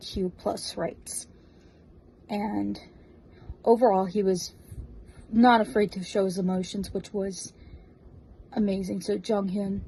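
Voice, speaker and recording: A woman with an American accent speaks at medium pitch in a flat monotone. Her tone is dark and mellow, and somewhat breathy. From US Northeast, New Jersey. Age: 20s. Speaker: fan, drag performer. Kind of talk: recorded video tribute message.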